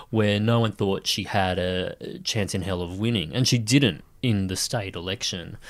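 A man speaks in an Australian accent at a fairly low pitch with ordinary pitch variation. He keeps a moderate pace with hardly any pauses, on a very clean recording with a silent background. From Sunshine Coast, Queensland, Australia. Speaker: writer and TV producer. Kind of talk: casual interview. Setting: studio.

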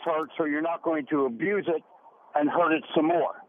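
There is noticeable background noise. A man talks at a fairly slow pace. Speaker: radio caller. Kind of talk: call-in question to radio doctors. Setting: phone call.

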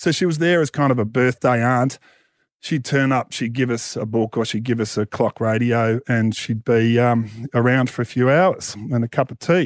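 An Australian-accented man at medium pitch speaks at a moderate pace with ordinary pitch variation, in a dry, close sound with no echo on a very clean recording with a silent background. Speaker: author and media personality. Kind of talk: casual chat.

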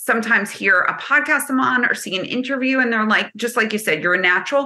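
A woman speaks with a New Jersey accent. Her intonation is lively. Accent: New Jersey American. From New Jersey, US. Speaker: business consultant. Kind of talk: casual interview chat.

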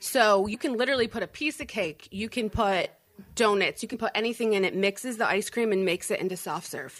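With an ordinary speaking voice, a woman talks at a fairly quick pace in a fairly high pitch and ordinary pitch variation. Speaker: business owner.

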